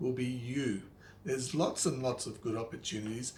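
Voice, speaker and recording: A man at a medium pitch, a normal speaking voice. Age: 50s. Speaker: money and life advice presenter. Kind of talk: advice talk to camera.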